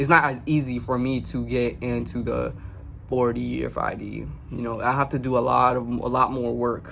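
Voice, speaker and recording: A man's voice with audible room echo. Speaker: spiritual vlogger. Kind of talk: casual vlog monologue. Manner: halting, frequent stutters and restarts.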